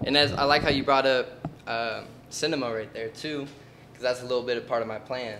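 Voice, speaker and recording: An American accent at a fairly quick pace, with fairly even intonation, big swings in loudness and noticeable background noise. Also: man, medium pitch for a man. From Southern California, Oceanside. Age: 20s. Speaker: aspiring musician. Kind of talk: casual interview.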